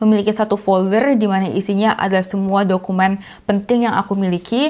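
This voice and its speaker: This woman has a plain, everyday voice, speaking at a fairly quick pace with medium pitch and fairly even intonation. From Indonesia. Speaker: YouTuber, expat vlogger. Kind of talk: casual tutorial vlog. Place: home room. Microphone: lapel.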